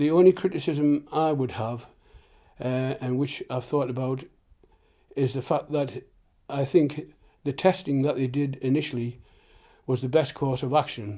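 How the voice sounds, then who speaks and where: Here a man speaks with a fairly high pitch and a dark, mellow tone. He keeps a moderate pace with ordinary pitch variation and long, frequent pauses. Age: 70s. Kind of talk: interview answer. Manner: hesitant.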